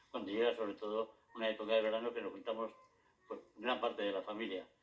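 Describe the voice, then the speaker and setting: The speaker is a man with a medium pitch. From Madrid, Spain. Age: 80s+. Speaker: retired local historian and author. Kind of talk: interview. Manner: halting, with frequent repetitions.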